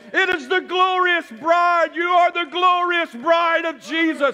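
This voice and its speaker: A man's raised, projected voice at an extremely high pitch, animated in tone and fairly slow in pace. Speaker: preacher. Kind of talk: sermon to a congregation, scripture reading with call-and-response. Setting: church with congregation. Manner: animated, fervent, exhorting; pauses for audience amens, repeats phrases for emphasis. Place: church.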